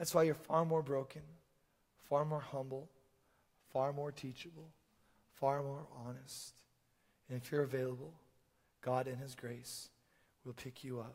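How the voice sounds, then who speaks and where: Pitched fairly high, a man talks at a moderate pace with long, frequent pauses. His somewhat breathy voice shows big swings in loudness. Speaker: preacher. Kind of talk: sermon. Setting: church stage with audience. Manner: animated.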